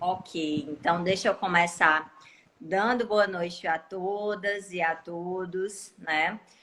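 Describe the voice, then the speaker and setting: A woman at a medium pitch talks very slowly, her intonation fairly even. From Cariri region, Ceará, Brazil. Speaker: law professor and lawyer. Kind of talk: casual live stream chat.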